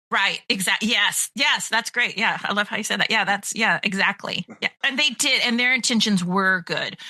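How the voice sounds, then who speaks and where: Here is a woman with an unremarkable speaking voice and a fairly high pitch. She talks at a moderate pace with ordinary pitch variation. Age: 50s. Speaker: pet care business owner. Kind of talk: interview conversation.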